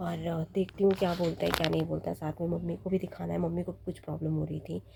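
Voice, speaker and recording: Noticeable background noise sits behind the recording. A woman talks at a moderate pace. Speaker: vlogger. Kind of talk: casual vlog.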